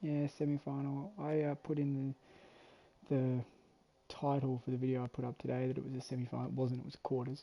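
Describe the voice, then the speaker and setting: A soft-spoken man talks fairly quickly in an Australian accent. His medium-pitched voice has monotone, flat intonation. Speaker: sports commentator. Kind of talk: live commentary. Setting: home.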